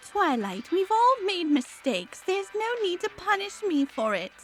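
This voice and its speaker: Putting on a theatrical character voice, a woman speaks at an extremely high pitch and a moderate pace. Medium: read story. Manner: posh, theatrical.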